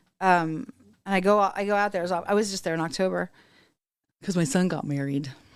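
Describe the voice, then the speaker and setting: Speech comes at a fairly quick pace broken by long, frequent pauses, in a very clean recording with a silent background. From Texas Hill Country. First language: German. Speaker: podcast host. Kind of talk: casual chat.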